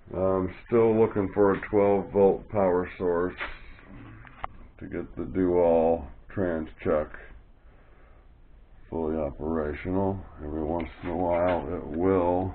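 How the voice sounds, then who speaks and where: With audible room echo, a man with a very deep, low voice speaks very slowly and with fairly even intonation, leaving long, frequent pauses. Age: 60s. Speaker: hobby machinist. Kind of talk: workshop tutorial. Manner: casual, hesitant with fillers.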